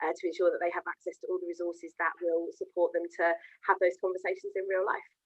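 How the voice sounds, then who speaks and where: In a southern English accent, a woman speaks at a very fast pace. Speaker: education account manager. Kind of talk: interview.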